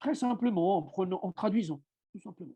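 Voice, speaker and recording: Over a quiet background, a man speaks with an Italian accent in a dark, mellow tone. His intonation is lively. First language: Italian (speaking French). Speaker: writer and self-translator. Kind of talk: seminar talk. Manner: halting, with many fillers.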